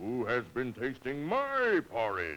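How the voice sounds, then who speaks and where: Put-on character voice from a man, medium pitch, unhurried delivery. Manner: roaring.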